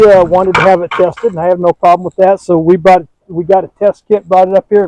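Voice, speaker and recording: This man has a high pitch, a dark, mellow tone and an Upper Peninsula Michigan accent, recorded with a dry, close sound and no echo. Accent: Upper Midwest (Yooper). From Michigan's Upper Peninsula. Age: 60s. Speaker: cabin owner, YouTuber. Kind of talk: casual chat, property tour. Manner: halting, repeats words.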